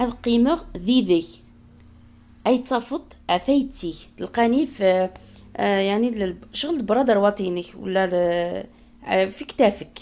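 A woman with a dark, mellow tone and fairly high pitch speaks very slowly, with long, frequent pauses. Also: lively intonation. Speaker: language teacher YouTuber. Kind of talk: tutorial. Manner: slow, repetitive.

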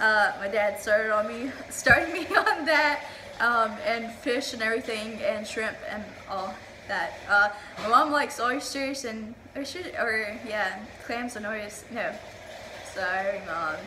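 Noticeable background noise surrounds a woman speaking fairly slowly at a fairly high pitch, with ordinary pitch variation and big swings in loudness. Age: 20s. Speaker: YouTuber. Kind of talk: casual vlog chat. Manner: halting.

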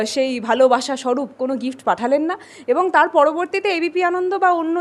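High-pitched female speech with ordinary variation in pitch. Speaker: politician. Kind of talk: media interview. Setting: outdoors after morning walk.

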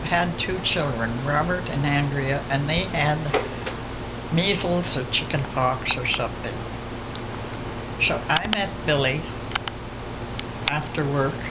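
Fairly slow pace with long, frequent pauses over loud background noise. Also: woman. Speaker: elderly family member. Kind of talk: interview answer. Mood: reflective, somber recollection. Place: home room.

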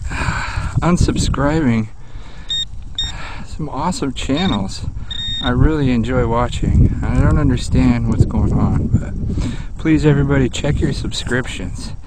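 Loud background noise under a man's fairly slow speech, dry with no echo and full of long, frequent pauses. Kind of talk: casual vlog chat. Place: open country. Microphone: phone near.

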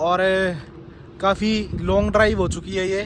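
A man at a fairly slow pace, dry sound with no echo, noticeable background noise. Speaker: travel vlogger. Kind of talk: casual vlog chat. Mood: complaining, frustrated. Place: street. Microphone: phone near.

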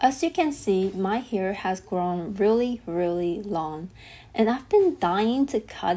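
A woman speaks at a fairly slow pace in a medium pitch, her tone dark and mellow. Her intonation is lively. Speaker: vlogger. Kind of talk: casual talk to camera. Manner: whispered. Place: home room. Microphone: camera far.

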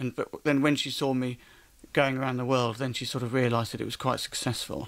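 A man speaks at a very fast pace. His intonation is monotone and flat. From UK. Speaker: comedian. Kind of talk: radio interview answer. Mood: wry, playful. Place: studio. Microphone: studio mic.

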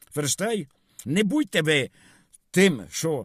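On a very clean recording with a silent background and a dry, close sound with no echo, a man speaks at a fairly slow pace with very wide pitch swings. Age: 70s. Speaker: video blogger. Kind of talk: monologue vlog. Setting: in a car. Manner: rambling code-switching between Russian and Ukrainian.

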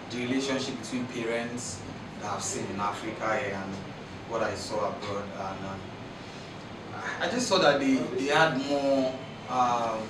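Noticeable background noise and audible room echo surround a man's voice. He talks at a fairly slow pace with long, frequent pauses. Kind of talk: interview answer. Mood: reflective, animated. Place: studio.

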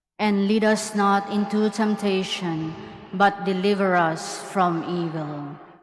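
The speech moves at a very slow pace. Room echo is audible, and there is noticeable background noise. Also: woman, medium pitch for a woman. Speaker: mass commentator. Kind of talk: liturgical responses and prayers. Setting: cathedral.

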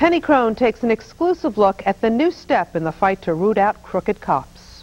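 A woman at a moderate pace, with a slightly mellow tone.

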